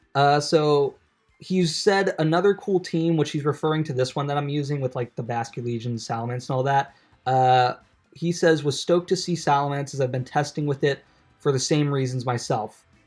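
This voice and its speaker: A man talks at a moderate pace in an American accent, his pitch fairly high with ordinary variation. The recording is very clean, and the background is silent. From US Northeast, New York. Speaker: gaming video creator. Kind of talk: casual gameplay commentary. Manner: casual, filler-heavy.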